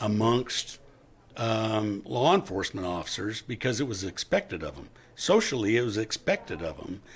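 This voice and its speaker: A man speaks in a normal speaking voice at a medium pitch. His pace is fairly slow. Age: 60s. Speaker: retired police officer. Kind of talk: interview.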